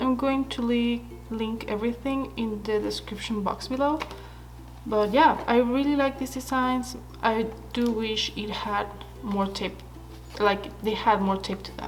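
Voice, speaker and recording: A woman speaks at a fairly slow pace with long, frequent pauses, amid audible room echo and noticeable background noise. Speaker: stationery YouTuber. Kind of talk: product haul review. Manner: casual, hesitant with fillers.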